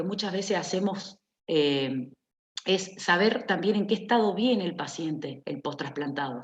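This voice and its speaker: This woman has a plain, everyday voice, fairly low in pitch with ordinary pitch variation. She talks at a fairly slow pace. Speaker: nurse. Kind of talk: lecture.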